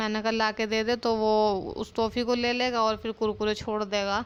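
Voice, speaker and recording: The voice moves at a moderate pace in a monotone, flat intonation. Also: woman. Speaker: family vlogger. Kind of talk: casual vlog.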